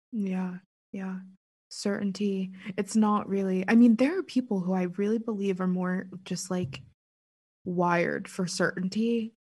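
An American-accented woman speaks at a fairly slow pace in a medium pitch, somewhat breathy. Her intonation stays fairly even, broken by long, frequent pauses. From US, Pittsburgh. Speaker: author and writer. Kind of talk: casual chat.

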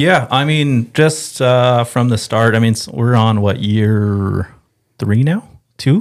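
In an American accent, a man of medium pitch speaks at a very slow pace, with very even loudness and ordinary pitch variation. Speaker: fishing industry rep. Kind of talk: casual chat.

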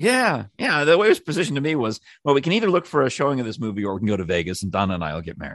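With a quiet background, a man talks at a very fast clip, his pitch swinging very widely and his voice showing vocal fry. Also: medium pitch for a man. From New York. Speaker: former radio producer. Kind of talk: casual chat.

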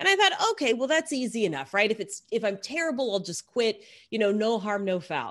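A woman speaks at a fairly quick pace. Her fairly high pitch moves in very wide swings. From Texas. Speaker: sports broadcaster and sideline reporter. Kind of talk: interview conversation.

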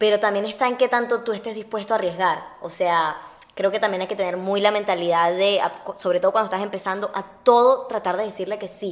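The voice moves at a fairly quick pace with fairly even intonation over noticeable background noise. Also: woman, medium pitch for a woman. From Venezuela (Uruguayan-born). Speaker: actress. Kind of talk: casual chat.

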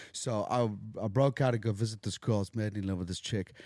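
The man's tone is dark and mellow, at a fairly quick pace. The recording is very clean, with a silent background and a dry, close sound with no echo. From South Africa. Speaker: recovering addict, actor. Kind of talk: casual chat. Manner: animated, joking.

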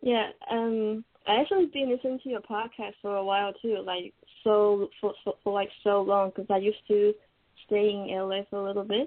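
A woman at a medium pitch, with a non-native accent, fairly even intonation and a moderate pace. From Taiwan. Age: 20s. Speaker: caller. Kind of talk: call-in advice. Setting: computer call. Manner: halting.

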